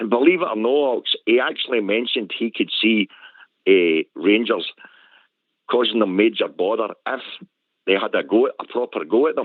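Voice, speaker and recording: Speaking with a Glasgow accent, a man keeps a moderate pace and a medium pitch, leaving long, frequent pauses. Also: ordinary pitch variation. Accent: Scottish (Glasgow). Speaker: caller. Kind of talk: phone-in chat.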